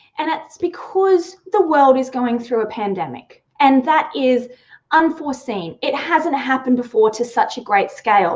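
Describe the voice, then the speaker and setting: A woman talks in an Australian accent at a fairly slow pace. Her high pitch moves in very wide swings. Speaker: sales trainer. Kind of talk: live webinar talk. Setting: live online stream. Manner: animated.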